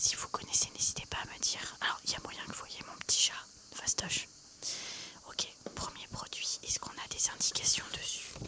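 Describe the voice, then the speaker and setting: In a relaxed tone, someone whispers with long, frequent pauses and big swings in loudness over noticeable background noise. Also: woman, moderate pace. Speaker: ASMR creator. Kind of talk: ASMR unboxing, casual talk to camera. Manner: soft-spoken, chatty, relaxed.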